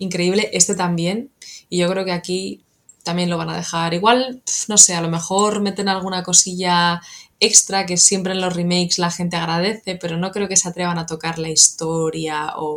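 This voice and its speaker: In an unremarkable speaking voice, a woman with a fairly low pitch speaks at a moderate pace with fairly even intonation. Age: 30s. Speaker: video game PR manager. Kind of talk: casual chat.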